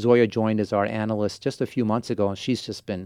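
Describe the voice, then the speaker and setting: Against a quiet background, a man with an American accent and a fairly low pitch speaks at a very fast pace in a monotone, flat intonation, the sound dry and close with no echo. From Portland, Oregon, US. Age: 40s. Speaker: venture capitalist. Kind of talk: interview. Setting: studio.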